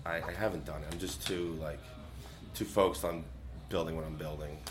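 A man speaking over music in the background. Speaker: guest, powerlifter and social media personality.

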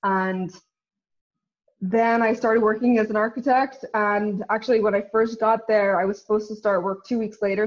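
A woman with a Northern Irish accent speaks at a fairly high pitch. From Northern Ireland. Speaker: company co-founder and CEO. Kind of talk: interview. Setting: video call.

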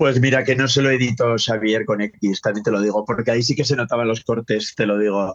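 A man with a normal speaking voice talks at a fairly quick pace with hardly any pauses. His pitch is medium, his intonation fairly even, and his loudness very even. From northern Spain. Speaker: drag commentator. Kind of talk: casual chat.

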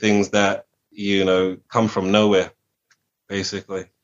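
In an American accent, a man with a fairly low pitch talks in a monotone, flat way. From England, with early childhood in Washington DC. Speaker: musician. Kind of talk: interview.

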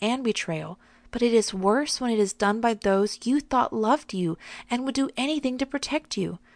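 A normal speaking voice goes at a moderate pace with ordinary pitch variation. The sound is dry and close with no echo, over a quiet background. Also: woman. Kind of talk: devotional teaching.

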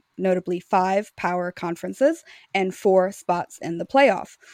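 An ordinary speaking voice, a woman with an American accent talks at a medium pitch and moderate pace, dry, close sound with no echo over a quiet background. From Louisiana, US South. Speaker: sports editor and former attorney. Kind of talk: casual chat.

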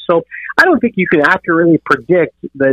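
A man's unremarkable speaking voice, fairly high in pitch, with ordinary pitch variation and a fairly quick pace. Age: 50s. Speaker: baseball beat reporter. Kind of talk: casual sports interview.

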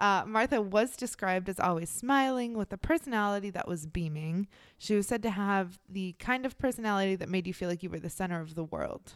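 In an ordinary speaking voice, a woman talks at a fairly quick pace with hardly any pauses, at a medium pitch with ordinary pitch variation, in a very clean recording with a silent background. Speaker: true crime podcast co-host. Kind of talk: casual chat and true crime storytelling.

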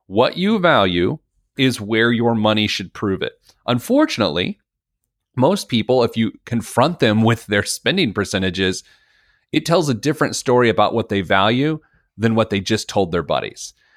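An unremarkable speaking voice with lively intonation keeps a moderate pace. The recording is very clean, with a silent background. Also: man, medium pitch for a man. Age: 40s. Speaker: financial educator and author. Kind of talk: casual interview.

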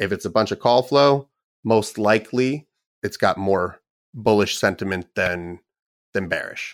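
On a very clean recording with a silent background, a man with an ordinary speaking voice and fairly low pitch talks at a moderate pace. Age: 30s. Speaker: trader and trading program developer. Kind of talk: casual interview.

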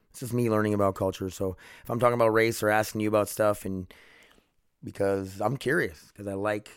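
This man talks at a very fast pace in a fairly low pitch, with an American accent. The recording is very clean, with a silent background. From US Midwest, South Dakota. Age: 30s. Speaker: podcast host. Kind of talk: casual monologue.

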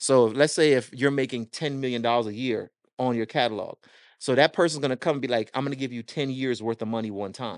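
Very fast speech from a man, the background quiet. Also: medium pitch for a man, ordinary pitch variation, dry, close sound with no echo. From Jamaica, moved to US at six. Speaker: record label owner and music marketing consultant. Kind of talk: casual interview chat. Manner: animated.

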